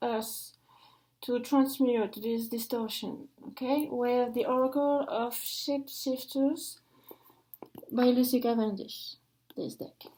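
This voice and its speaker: A woman with a high pitch, at a very slow pace. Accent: French. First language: French. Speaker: oracle card reader. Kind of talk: oracle card reading. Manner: halting.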